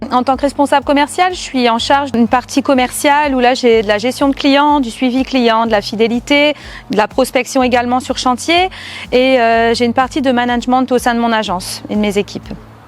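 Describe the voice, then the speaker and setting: A woman's high-pitched voice with ordinary variation, fairly quick in pace and very even in loudness, over noticeable background noise. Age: 30s. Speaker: sales manager. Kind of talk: corporate testimony. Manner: hesitant, frequent filler sounds.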